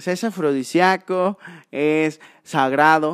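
A man speaks in a plain, everyday voice at a fairly high pitch, with ordinary pitch variation. The sound is dry and close with no echo, in a very clean recording with a silent background. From Mexico, Córdoba, Veracruz. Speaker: wildlife rescuer and biologist. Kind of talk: casual chat. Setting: in person at the guest's sanctuary.

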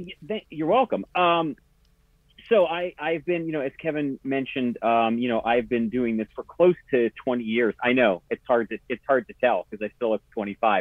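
A man's medium-pitched voice at a moderate pace, in a dry, close sound with no echo. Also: fairly even intonation.

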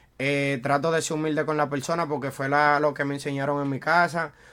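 A man's fairly high-pitched voice with monotone, flat intonation, in a Dominican accent. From Dominican Republic, Santo Domingo. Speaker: freestyle rapper. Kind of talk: casual chat.

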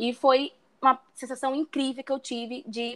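A woman speaks at a high pitch. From Brazil, Rio de Janeiro. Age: 20s. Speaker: travel planner. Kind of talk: interview. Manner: confident.

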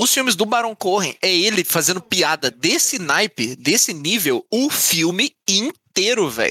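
A man's raised, projected voice, high in pitch and bright and sharp in tone, with very wide pitch swings at a fairly slow pace, hardly any pauses, and a dry, close sound with no echo. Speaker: podcast co-host. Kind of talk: casual chat.

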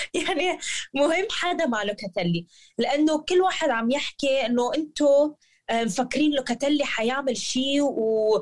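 Her pitch is high and her intonation lively. The woman keeps a fairly slow pace. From Lebanon. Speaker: football fan pundit. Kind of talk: casual chat.

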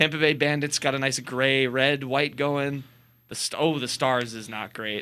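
With a bright, sharp tone and monotone, flat intonation, a man talks at a moderate pace and medium pitch. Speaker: college radio sports host. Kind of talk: casual chat. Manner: bantering, playful.

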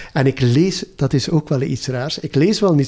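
This man has a dark, mellow tone and a fairly high pitch. He speaks at a moderate pace. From West Flanders, Belgium. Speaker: retired government manager. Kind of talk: casual interview. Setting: at home. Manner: animated.

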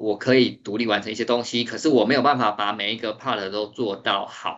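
A man talks at a fairly low pitch with vocal fry. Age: 30s. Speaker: 3D artist and designer. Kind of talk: interview.

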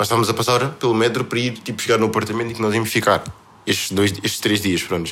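Someone talks at a very fast pace with a European Portuguese accent. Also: man. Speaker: podcast co-host. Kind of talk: casual chat.

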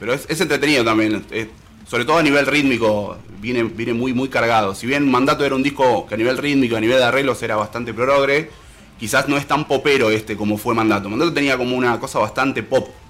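Over noticeable background noise, a man rattles along at a very fast pace with fairly even intonation. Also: medium pitch for a man. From Salta, Argentina. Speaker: musician and guitar teacher. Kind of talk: casual interview.

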